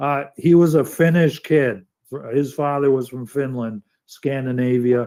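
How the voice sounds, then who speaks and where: With a New York accent, a man speaks at a fairly slow pace in a medium pitch and a dark, mellow tone. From New York City. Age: 60s. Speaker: environmental activist and live stream host. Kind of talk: casual live stream chat. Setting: live online studio stream. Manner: halting, many false starts.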